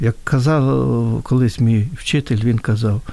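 A man at a fairly slow pace. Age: 60s. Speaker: hepatologist. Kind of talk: radio interview.

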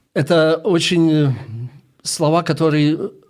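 A man with a Russian accent speaks in a fairly high pitch. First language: Russian (speaking Ukrainian). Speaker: missionary, ministry leader. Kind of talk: radio interview. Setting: radio studio.

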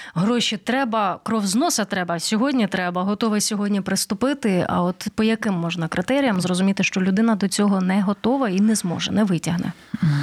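Her somewhat breathy voice sits at medium pitch with ordinary pitch variation. She talks fairly quickly, and the sound is dry and close with no echo. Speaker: radio host. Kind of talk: radio interview. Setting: radio studio.

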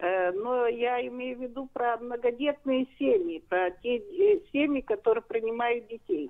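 A woman with a high pitch speaks at a fairly slow pace. Her intonation is lively. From Odesa, Ukraine. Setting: phone call.

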